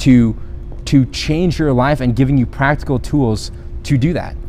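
A medium-pitched man's voice with audible room echo. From Philippines and South America (missionary kid). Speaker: podcast host and business owner. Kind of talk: motivational monologue. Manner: casual, with frequent fillers and repetitions.

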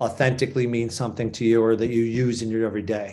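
A man with a Boston accent at a fairly quick pace. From Boston, Massachusetts. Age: 50s. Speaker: sports agency founder. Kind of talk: interview. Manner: halting.

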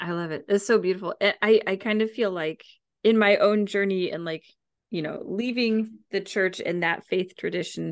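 A woman's normal speaking voice at a medium pitch and moderate pace, with fairly even intonation over a quiet background. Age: 30s. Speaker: podcast host and health coach. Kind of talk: casual chat. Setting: home studio.

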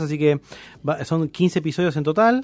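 This is a plain, everyday voice from a man with ordinary pitch variation. He speaks at a moderate pace. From Argentina, Campana (Buenos Aires province). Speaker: philosophy podcaster. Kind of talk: casual chat.

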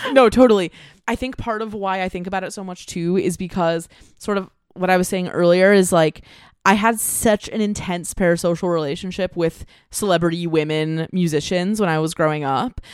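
A woman with an American accent talks at a fairly quick pace in an ordinary speaking voice, medium in pitch with ordinary pitch variation. The recording is very clean, with a silent background. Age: 20s. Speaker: podcaster and multidisciplinary artist. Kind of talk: casual chat.

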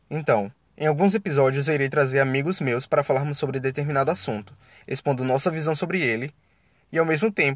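A somewhat breathy, fairly high-pitched man at a very fast pace, with ordinary pitch variation on a very clean recording with a silent background. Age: 20s. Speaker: podcast host, law student. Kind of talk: solo podcast introduction. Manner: animated.

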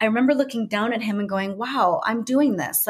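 With an American accent, a woman speaks at a fairly quick pace and fairly high pitch, using ordinary pitch variation. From United States. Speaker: brand and business coach. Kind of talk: casual interview chat. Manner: halting, many fillers.

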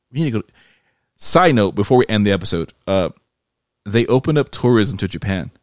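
In a very clean recording with a silent background and a dry, close sound with no echo, a man with a fairly low pitch speaks at a fairly quick pace in an animated tone with lively intonation. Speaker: podcast host. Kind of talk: casual chat.

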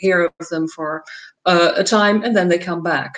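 A woman with a Dutch accent, medium pitch, fairly even intonation and a fairly slow pace. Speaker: nonprofit executive director. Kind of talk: panel discussion. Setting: video call.

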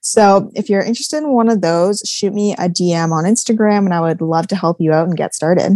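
Medium in pitch and dark, mellow in tone, a woman speaks with a Canadian accent and ordinary pitch variation. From Manitoba, Canada (Swan Lake First Nation). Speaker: business and mindset coach. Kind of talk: interview.

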